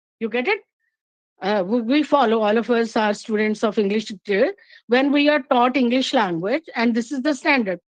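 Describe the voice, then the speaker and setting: The speaker has a Punjabi Indian accent, a fairly quick pace and ordinary pitch variation, heard in a dry, close sound with no echo over a quiet background. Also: woman, fairly high pitch for a woman. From Punjab, India. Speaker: English literature teacher. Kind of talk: academic talk. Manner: halting, many fillers.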